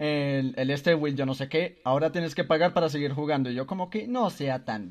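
An unremarkable speaking voice moves at a fairly quick pace with lively intonation and hardly any pauses, over a quiet background. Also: man, fairly high pitch for a man. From Colombia. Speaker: podcast host. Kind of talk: casual chat. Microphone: echo from the microphone.

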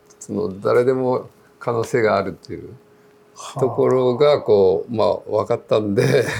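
A man's loudness rises and falls in big swings as he talks at a moderate pace against noticeable background noise. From Japan, Kumamoto (Kyushu). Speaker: veteran mountaineer and trail runner. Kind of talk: interview. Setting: cafe.

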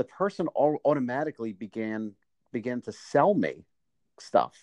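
Long, frequent pauses break up a man's fairly slow speech. His intonation is lively, and the sound is dry and close with no echo. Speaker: podcast host. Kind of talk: casual chat. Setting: phone call.

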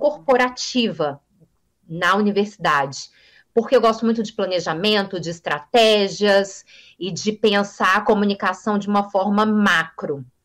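A woman's fairly high voice at a fairly slow pace, on a very clean recording with a silent background. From Brasília, Brazil. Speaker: journalist and communication teacher. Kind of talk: interview. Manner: fluent.

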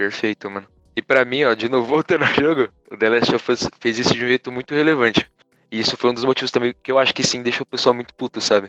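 A man's medium-pitched voice with fairly even intonation, dry and close with no echo, over music in the background. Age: 20s. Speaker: podcast guest. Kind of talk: casual chat.

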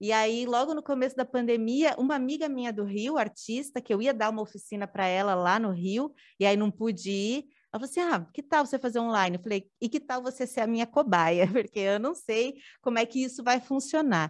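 A woman with a plain, everyday voice talks fairly quickly at a fairly high pitch. Her pitch varies in an ordinary way against a quiet background. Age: 30s. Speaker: performing artist, dancer and drag king. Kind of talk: casual chat. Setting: studio.

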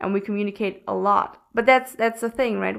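An ordinary speaking voice from a woman, medium in pitch with fairly even intonation, in a very clean recording with a silent background. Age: 20s. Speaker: podcast co-host and mindset coach. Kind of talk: casual chat.

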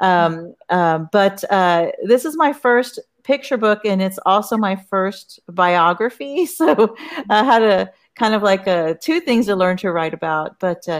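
Speaking with a normal speaking voice, a woman with an American accent uses a medium pitch and ordinary pitch variation at a fairly slow pace. The recording is very clean, with a silent background. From Corpus Christi, Texas. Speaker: author. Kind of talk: panel discussion.

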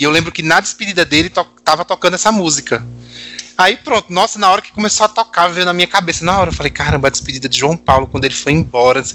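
Very fast speech from a man with a high pitch and ordinary pitch variation. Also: dry, close sound with no echo. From Natal, northeastern Brazil. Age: 30s. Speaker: pop music fan guest. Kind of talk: casual chat.

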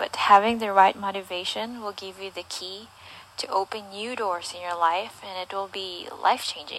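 Intonation stays fairly even while loudness swings widely. Noticeable background noise runs underneath. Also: woman. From southern Philippines. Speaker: guest speaking about her culture. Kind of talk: prepared talk.

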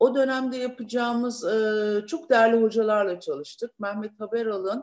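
A woman's fairly high voice at a moderate pace with ordinary pitch variation, on a very clean recording with a silent background. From Turkey, Thrace (Lüleburgaz). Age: 60s. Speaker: businesswoman, uniform company founder. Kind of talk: interview. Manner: animated.

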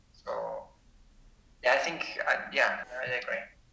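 A man's voice with noticeable background noise. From Spain. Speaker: animation professor. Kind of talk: casual interview.

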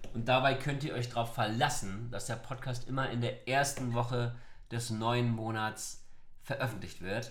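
Fairly slow speech with audible room echo. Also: man. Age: 30s. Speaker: youth work officer, podcast co-host. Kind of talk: podcast intro, semi-scripted.

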